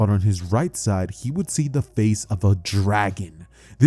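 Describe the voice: Just plain reading aloud, nothing more.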